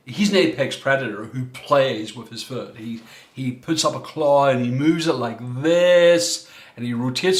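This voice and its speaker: An Irish accent at a moderate pace with ordinary pitch variation, over noticeable background noise. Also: man. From Ireland. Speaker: coach and former minister. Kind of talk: workshop talk.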